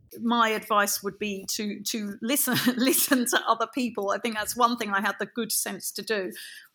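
The voice has a bright, sharp tone and fairly even intonation. It moves at a moderate pace with hardly any pauses. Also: woman, fairly high pitch for a woman, very clean recording, silent background. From London. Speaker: dressage rider and trainer. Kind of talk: interview.

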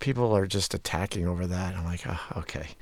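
A plain, everyday voice from a man, fairly low in pitch, at a fairly quick pace. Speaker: radio show host guest. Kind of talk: casual conversation interview.

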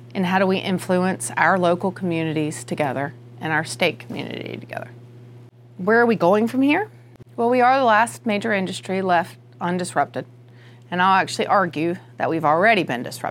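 The speech comes at a fairly quick pace with a slight Southern US accent. Its pitch swings are very wide. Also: woman, fairly low pitch for a woman. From rural North Carolina. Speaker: realtor association president. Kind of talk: interview.

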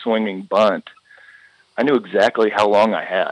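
At a moderate pace, the speaker uses a normal speaking voice with ordinary pitch variation. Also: man. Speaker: retired baseball pitcher. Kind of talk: interview.

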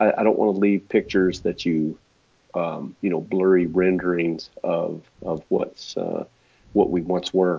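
In an American accent, a man talks at a fairly slow pace with a very deep, low pitch and monotone, flat intonation. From Texas. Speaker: portrait photographer. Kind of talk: casual interview chat.

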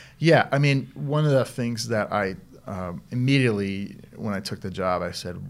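In a very clean recording with a silent background, a man with an American accent uses a normal speaking voice at a fairly slow pace with ordinary pitch variation. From Boston area, Massachusetts. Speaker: medical device trade association president. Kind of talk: interview. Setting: studio.

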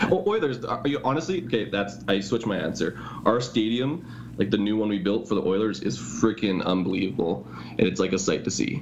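A man with a Canadian accent talks at a fairly quick pace, fairly low in pitch with lively intonation, against noticeable background noise. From Canada. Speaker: personal trainer, former teacher. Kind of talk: casual interview chat. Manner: fast.

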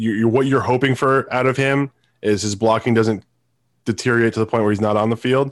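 In a very clean recording with a silent background, a man with an unremarkable speaking voice talks fairly quickly at medium pitch with fairly even intonation. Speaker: sports podcast co-host. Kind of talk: casual sports talk show.

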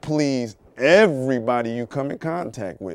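A man talks at a fairly slow pace in an ordinary speaking voice of medium pitch, with ordinary pitch variation. The sound is dry and close, with no echo. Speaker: co-host. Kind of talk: casual talk show chat. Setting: studio.

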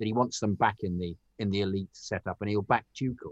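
A man with a British accent at a very fast pace, in a dry, close sound with no echo. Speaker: football podcast co-host. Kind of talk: casual chat.

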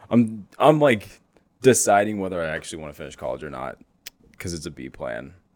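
A man with a very deep, low pitch and vocal fry speaks at a fairly quick pace, with very wide pitch swings and big swings in loudness. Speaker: stand-up comedian. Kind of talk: casual chat.

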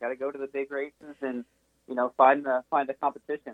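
A man speaks at a very fast pace with a fairly high pitch. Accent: American. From Texas. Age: young. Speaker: esports sim racer. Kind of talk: casual interview.

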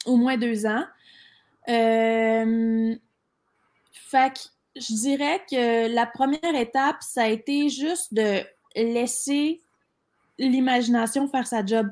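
In a Quebec accent, a woman speaks very slowly with a high pitch, ordinary pitch variation and long, frequent pauses, in a very clean recording with a silent background. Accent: Québécois French. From Quebec City, Quebec. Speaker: entrepreneur. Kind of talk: interview.

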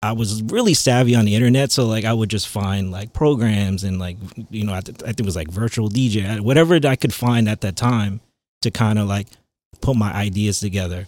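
A man with a Long Island accent speaks at a fairly quick pace and fairly low pitch, using ordinary pitch variation. The recording is very clean, with a silent background. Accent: New York (Long Island) American. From Long Island, New York. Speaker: DJ and remix producer. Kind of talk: casual chat.

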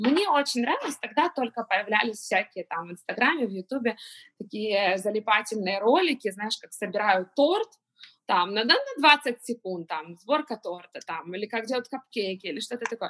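A woman with an unremarkable speaking voice talks at a moderate pace and fairly high pitch, her intonation lively and her loudness swinging widely. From Ukraine, Kyiv. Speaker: pastry chef and business owner. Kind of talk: interview.

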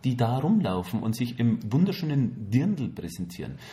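A man's dark, mellow voice with vocal fry and a slight Bavarian accent, fairly slow, with very wide pitch swings and audible room echo. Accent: faint Bavarian, barely noticeable. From Bavaria, Germany. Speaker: podcast co-host. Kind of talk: casual chat. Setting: studio, hosts face each other.

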